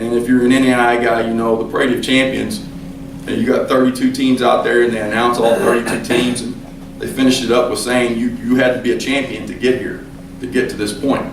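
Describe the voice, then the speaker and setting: Medium-pitched male speech at a fairly quick pace with fairly even intonation, amid audible room echo and noticeable background noise. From western Kentucky. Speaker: college basketball coach. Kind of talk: speech to a club. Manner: conversational, halting with repetitions.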